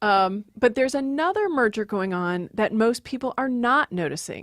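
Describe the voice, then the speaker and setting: A woman with an American accent and a fairly high pitch uses an unremarkable speaking voice at a moderate pace in a very clean recording with a silent background. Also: lively intonation, dry, close sound with no echo. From Maryland, US. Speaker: linguist, professor. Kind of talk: interview, explanatory.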